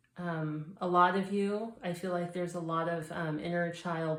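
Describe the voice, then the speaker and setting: Audible room echo surrounds a woman with a fairly low pitch. She speaks at a fairly slow pace in a monotone, flat intonation. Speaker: tarot reader. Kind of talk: tarot reading.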